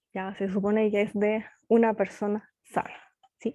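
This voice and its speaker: A woman's dark, mellow voice at a very slow pace, recorded dry and close with no echo. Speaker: physics teacher. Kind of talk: online lecture.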